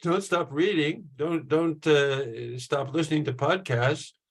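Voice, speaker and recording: A man at a moderate pace, his voice somewhat breathy. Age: 70s. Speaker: professor. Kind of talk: panel talk. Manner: halting, many fillers.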